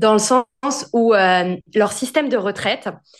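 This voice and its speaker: A woman talks in a plain, everyday voice, fairly high in pitch with ordinary pitch variation. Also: quiet background. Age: 20s. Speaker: entrepreneur and finance content creator. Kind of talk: casual interview.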